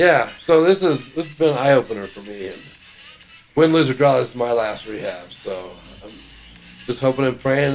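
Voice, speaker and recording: A man's medium-pitched voice at a fairly quick pace, with ordinary pitch variation and music in the background. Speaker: rehab patient. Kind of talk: interview.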